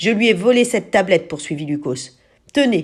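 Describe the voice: This is plain reading aloud. The intonation moves in a lively way.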